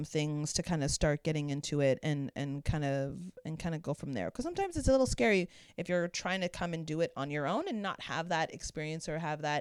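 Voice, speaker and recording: In a Canadian accent, a woman speaks at a fairly quick pace with a very deep, low pitch and ordinary pitch variation, in a very clean recording with a silent background and a dry, close sound with no echo. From Canada, Toronto. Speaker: drag king performer. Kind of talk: casual interview chat.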